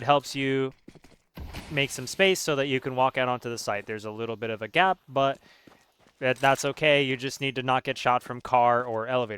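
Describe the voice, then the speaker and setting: A man with a plain, everyday voice speaks at a medium pitch and a fairly quick pace. His intonation is fairly even, with a dry, close sound and no echo. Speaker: gaming coach. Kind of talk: tutorial. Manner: casual with many fillers.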